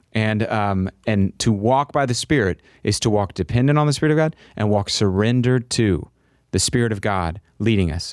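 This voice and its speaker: A man with a fairly low pitch speaks in a normal speaking voice, at a moderate pace with ordinary pitch variation. The sound is dry and close, with no echo. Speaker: podcast host. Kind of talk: casual conversational podcast discussion on faith.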